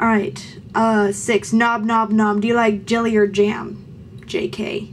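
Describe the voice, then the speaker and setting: Over noticeable background noise, a woman of fairly high pitch speaks at a very slow pace in a monotone, flat intonation. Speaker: vlogger. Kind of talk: casual Q&A vlog.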